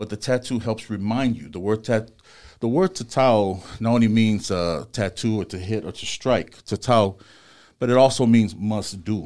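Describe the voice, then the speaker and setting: This is a man with an American accent and an unremarkable speaking voice, fairly low in pitch with ordinary pitch variation. He talks at a moderate pace in a very clean recording with a silent background. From Los Angeles, US West Coast. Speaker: tattoo artist and shop owner. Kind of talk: casual interview.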